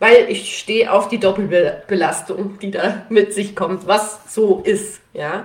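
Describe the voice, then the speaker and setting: The speech moves very slowly in a flat monotone, while the loudness swings widely. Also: woman, medium pitch for a woman. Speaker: podcast host and parental benefit consultant. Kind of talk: live Q&A stream. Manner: many fillers; casual.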